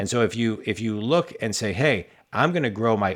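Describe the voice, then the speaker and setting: A man with a fairly low pitch speaks in a normal speaking voice at a fairly slow pace. His intonation is lively, and the recording is very clean with a silent background. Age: 40s. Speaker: business coach and podcast host. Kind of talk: casual interview.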